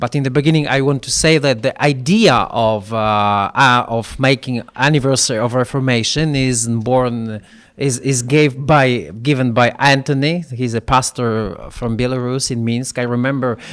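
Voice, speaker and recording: With a non-native accent, a man at medium pitch talks at a moderate pace with fairly even intonation and hardly any pauses, on a very clean recording with a silent background. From Poland. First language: Polish. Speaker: church leader. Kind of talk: panel discussion. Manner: halting.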